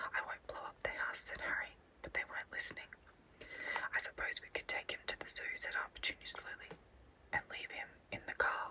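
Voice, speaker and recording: A woman whispers in an Australian accent at a fairly quick pace, with noticeable background noise behind her. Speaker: ASMR artist. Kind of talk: bedtime story reading. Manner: whispered.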